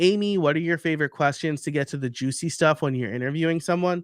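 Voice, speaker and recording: With a slight New York accent, a man talks in ordinary pitch variation, his dry, close sound free of echo on a very clean recording with a silent background. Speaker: podcaster and podcasting coach. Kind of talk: live stream presentation with Q&A. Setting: live stream. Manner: casual, many fillers and restarts.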